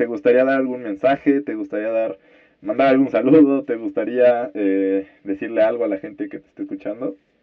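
This man's loudness swings widely as he speaks at a moderate pace. His medium pitch shows ordinary variation. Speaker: podcast host. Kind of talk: interview. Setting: phone call.

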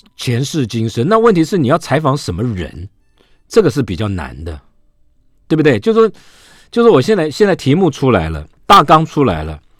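Over background music, a man speaks with very wide pitch swings and long, frequent pauses. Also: fairly high pitch for a man, moderate pace. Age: 60s. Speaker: radio host. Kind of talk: casual chat.

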